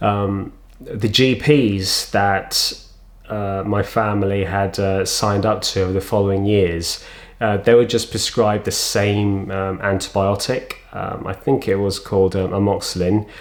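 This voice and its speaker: A man speaks in a London accent with a fairly low pitch. His intonation is monotone and flat, and his pace is fairly slow. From London, England. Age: 40s. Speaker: vlogger with cystic fibrosis. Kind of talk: personal testimony. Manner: halting, many fillers.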